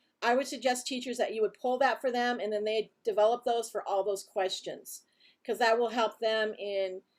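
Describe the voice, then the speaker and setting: The speech moves at a moderate pace. It is a plain, everyday voice. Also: woman. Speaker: competition presenter. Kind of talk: orientation briefing.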